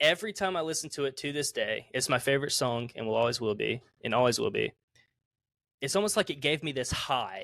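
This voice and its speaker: Speaking at a fairly quick pace with a Southern US accent, a man uses lively intonation at a fairly high pitch, recorded very cleanly against a silent background. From US South, South Carolina. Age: 20s. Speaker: musician. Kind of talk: casual interview.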